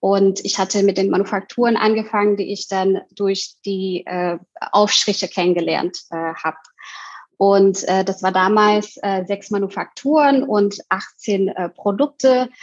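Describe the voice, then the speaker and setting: Using a plain, everyday voice, a woman speaks at a fairly slow pace in a medium pitch with fairly even intonation. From Indonesia. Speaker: co-founder of an online shop. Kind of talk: interview conversation.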